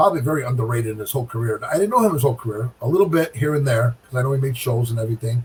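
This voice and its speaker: Somewhat breathy and animated, a man talks with ordinary pitch variation. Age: 60s. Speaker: professional bowler. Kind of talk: casual chat.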